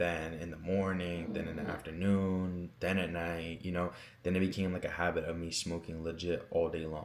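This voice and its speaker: A man with an American accent speaks in a very deep, low pitch and a monotone, flat delivery. Room echo is audible. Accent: American, youthful casual. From Pennsylvania, US. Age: young. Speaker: youtuber. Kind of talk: story time monologue. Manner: casual, filler-heavy.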